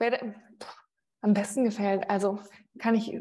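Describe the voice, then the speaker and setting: This woman speaks at a medium pitch. Her tone is dark and mellow. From Mainz area, Rhineland-Palatinate, moved often. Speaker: sports TV presenter. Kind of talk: interview.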